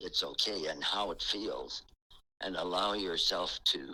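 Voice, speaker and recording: A man talks at a very slow pace. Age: 80s+. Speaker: retired sign painter and caricature artist. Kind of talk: podcast interview answer.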